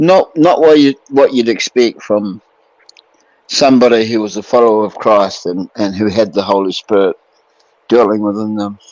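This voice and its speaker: A man's normal speaking voice, fairly low in pitch, with ordinary pitch variation, at a moderate pace, in a dry, close sound with no echo. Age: 60s. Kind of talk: casual chat.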